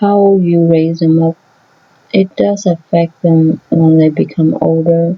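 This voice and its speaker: The woman's fairly low voice goes very slowly, with ordinary variation in pitch. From Vietnamese family background. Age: 30s. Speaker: vlogger. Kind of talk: opinion vlog monologue.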